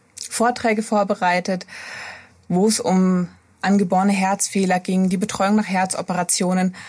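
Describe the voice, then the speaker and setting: Speaking at a moderate pace, a woman keeps a medium pitch, a monotone, flat intonation and very even loudness. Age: 30s. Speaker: pediatric intensive care nurse. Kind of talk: interview.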